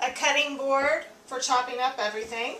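Over noticeable background noise, a woman speaks in a raised, projected voice at a fairly slow pace with fairly even intonation. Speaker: home cook host. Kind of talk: tutorial. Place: kitchen. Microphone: camera far.

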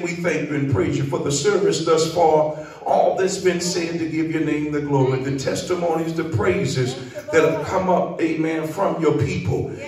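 Audible room echo and light background noise accompany a man speaking at a moderate pace with fairly even intonation. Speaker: preacher leading prayer. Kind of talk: sermon prayer. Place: church.

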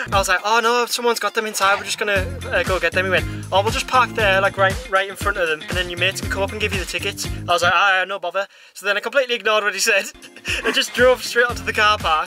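Clear music plays behind a man's raised, projected voice, the sound dry with no echo. He speaks very fast with fairly even intonation. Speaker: festival-goer vlogger. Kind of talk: casual vlog chat. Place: car. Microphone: phone near.

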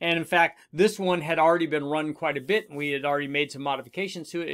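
The setting is quiet. A man talks, his pitch varying in an ordinary way. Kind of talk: tutorial. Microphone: webcam.

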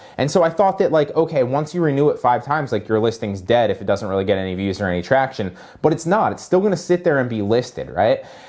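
The speech moves at a very fast pace with very wide pitch swings. The background is quiet. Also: man. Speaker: online seller coach. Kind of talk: casual tutorial talk. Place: office. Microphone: camera far.

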